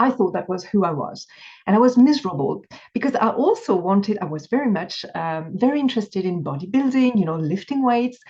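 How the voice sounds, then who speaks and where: A woman talks in a dark, mellow tone with a French accent and a somewhat breathy quality. Her pitch swings very widely. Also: medium pitch for a woman, fairly quick pace. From France. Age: 50s. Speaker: binge eating coach. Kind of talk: interview.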